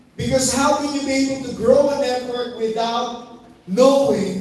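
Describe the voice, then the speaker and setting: A man with an extremely high pitch talks at a fairly slow pace in an animated tone with ordinary pitch variation, over noticeable background noise. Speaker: network marketing trainer. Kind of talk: motivational seminar talk.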